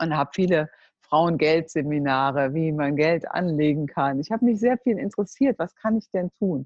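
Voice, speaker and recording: A woman's voice with a very deep, low pitch. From Germany, Cologne. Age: 50s. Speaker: network marketing entrepreneur. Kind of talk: interview.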